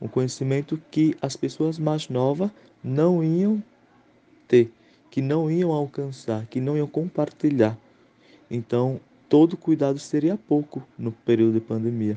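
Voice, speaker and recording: Pausing long and often, a man with a fairly high, dark, mellow voice speaks at a fairly slow pace. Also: ordinary pitch variation. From Pernambuco, Brazil. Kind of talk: recorded testimony. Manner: halting, with repetitions.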